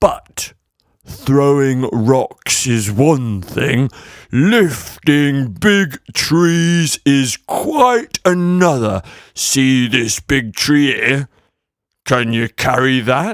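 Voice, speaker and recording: Putting on a character voice, a man speaks at a very slow pace and a medium pitch. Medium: read story.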